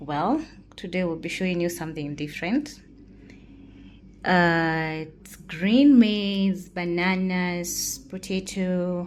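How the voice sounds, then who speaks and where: A woman with a Kenyan accent speaks at a very slow pace, with ordinary pitch variation and big swings in loudness. Audible room echo surrounds her voice. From Kenya (Kikuyu). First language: Kikuyu. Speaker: cooking channel host. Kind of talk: cooking tutorial. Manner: casual, with hesitations.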